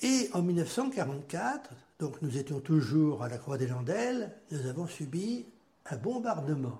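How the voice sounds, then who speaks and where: Very slowly, a man with a fairly high pitch and a dark, mellow tone talks with very wide pitch swings. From western France, Châteaubriant area. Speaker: grandfather telling life story, Algerian war veteran. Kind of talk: life-story interview.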